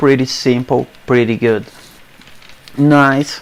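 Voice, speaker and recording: Amid noticeable background noise, a man with a non-native accent speaks at a fairly high pitch. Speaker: software developer. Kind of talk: coding tutorial screencast.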